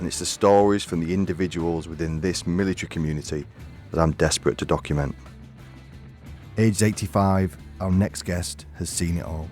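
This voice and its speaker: Music plays in the background as a man with a very deep, low pitch talks at a fairly quick pace. His intonation is fairly even, and he takes long, frequent pauses. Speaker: podcast host, former firefighter and soldier. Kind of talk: podcast intro narration.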